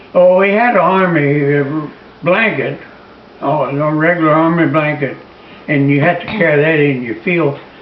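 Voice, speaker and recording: A man's fairly high voice, with ordinary pitch variation, proceeds at a moderate speed while noticeable noise runs behind him. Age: 80s+. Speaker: war veteran. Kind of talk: interview answer.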